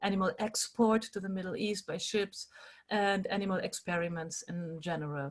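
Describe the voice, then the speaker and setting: At a moderate pace, a woman with a medium pitch speaks somewhat breathily in a German accent. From Germany. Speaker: animal rights activist and workshop leader. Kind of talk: online workshop talk.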